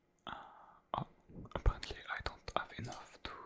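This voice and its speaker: Whispering comes through with noticeable background noise behind it. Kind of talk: ASMR gaming commentary. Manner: whispered.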